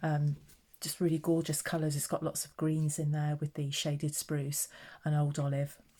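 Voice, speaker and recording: In a very clean recording with a silent background, a woman speaks at a moderate pace with a very deep, low pitch, monotone, flat intonation and a dark, mellow, somewhat breathy tone. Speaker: craft tutorial maker. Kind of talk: tutorial. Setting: at home. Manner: soft-spoken.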